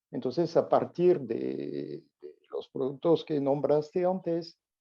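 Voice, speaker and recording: With a French accent, a man speaks at a fairly slow pace in a fairly high pitch. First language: French (speaking Spanish). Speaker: olfactory therapy expert. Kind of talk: interview. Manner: halting.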